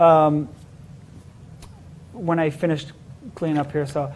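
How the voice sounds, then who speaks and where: A man with an Israeli accent speaks at a fairly high pitch. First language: Hebrew. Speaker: magician. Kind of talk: interview. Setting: live-streamed show. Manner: hesitant with fillers.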